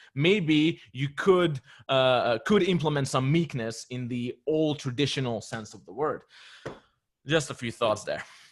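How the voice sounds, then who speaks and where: Speaking fairly slowly with a non-native accent, a man with a fairly high voice swings widely in loudness on a very clean recording with a silent background. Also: ordinary pitch variation. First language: not English. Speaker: discussion participant. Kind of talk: casual group discussion. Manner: hesitant, with fillers.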